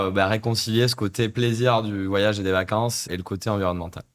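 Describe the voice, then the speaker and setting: An ordinary speaking voice from a man at a fairly quick pace, with fairly even intonation, in a very clean recording with a silent background. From France, Corrèze. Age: 30s. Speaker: startup CEO. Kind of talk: podcast interview.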